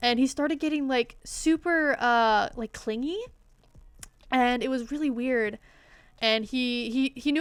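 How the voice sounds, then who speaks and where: The recording is very clean, with a silent background. A woman speaks at a moderate pace in a high pitch, her pitch varying in an ordinary way. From Canada. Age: 20s. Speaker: streamer and artist. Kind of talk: casual chat. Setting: livestream.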